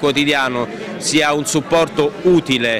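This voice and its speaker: Noticeable background noise accompanies a fairly high-pitched man whose intonation stays fairly even. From Caserta, Campania, Italy. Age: 30s. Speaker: politician, mayoral candidate. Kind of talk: campaign interview.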